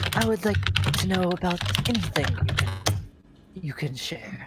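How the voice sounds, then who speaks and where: A put-on character voice at a low-to-middle pitch moves at a moderate pace with very wide pitch swings. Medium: actual play. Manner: curious.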